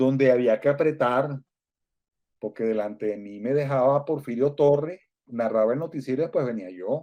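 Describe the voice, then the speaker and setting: This is a man with an unremarkable speaking voice and a medium pitch. He moves at a moderate pace with ordinary pitch variation. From Venezuela. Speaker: Venezuelan radio broadcaster, now living in Mexico. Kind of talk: interview answer, recalling his radio career.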